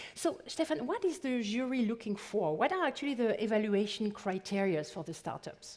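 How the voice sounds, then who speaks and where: A woman with a French accent speaks at a moderate pace with hardly any pauses, her fairly high voice swinging very widely in pitch. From France. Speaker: event moderator. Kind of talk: stage moderation.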